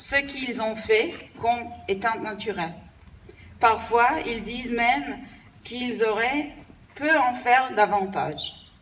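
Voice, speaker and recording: Speech comes at a very slow pace with ordinary pitch variation and audible room echo. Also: woman. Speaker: diplomat. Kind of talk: formal ceremonial speech. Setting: commemoration ceremony with audience.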